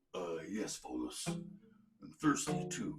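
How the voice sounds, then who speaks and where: The voice is a man's put-on character, fairly high in pitch. His pace is very slow. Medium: read story.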